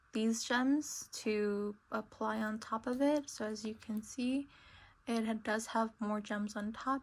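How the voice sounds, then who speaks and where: A woman's fairly high, somewhat breathy voice at a very slow pace. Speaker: craft youtuber. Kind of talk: tutorial. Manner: hesitant, many fillers.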